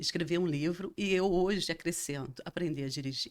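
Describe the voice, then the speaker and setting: In a very clean recording with a silent background, a woman with a fairly low pitch speaks with lively intonation. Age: 60s. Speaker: interview guest sharing personal story. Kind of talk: testimony. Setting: recording studio. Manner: halting.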